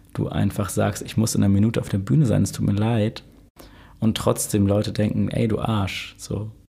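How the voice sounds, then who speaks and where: A man speaks at a fairly quick pace in a fairly low, dark and mellow voice. His delivery is monotone and flat, with vocal fry. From Hamburg (Lurup, born in Altona). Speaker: DJ and electronic music producer. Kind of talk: casual interview chat. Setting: podcast studio.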